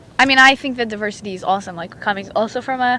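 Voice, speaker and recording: A woman with a non-native accent talks at a very fast pace, her medium pitch varying in an ordinary way. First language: not English. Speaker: podcast co-host. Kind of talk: casual chat. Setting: outdoors on a beach. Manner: animated.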